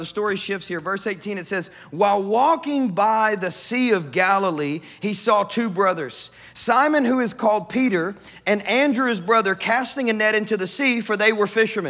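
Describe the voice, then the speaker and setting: A man with a Kentucky accent talks at a moderate pace in a high voice, his pitch rising and falling in an ordinary way. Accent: Kentucky Southern US. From US South, West Kentucky. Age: 30s. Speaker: pastor. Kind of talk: sermon.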